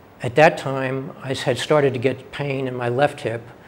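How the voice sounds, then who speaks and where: A man's medium-pitched voice in an American accent with fairly even intonation over noticeable background noise. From New York City. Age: 60s. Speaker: patient. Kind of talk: testimony.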